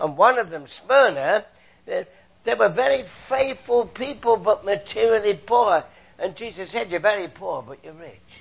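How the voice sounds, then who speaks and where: Speaking at a moderate pace with a British accent, a man uses a high pitch, an animated tone, lively intonation and big swings in loudness. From Britain. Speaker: visiting preacher; former chemistry professor. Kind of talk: sermon. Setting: church. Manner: animated, humorous.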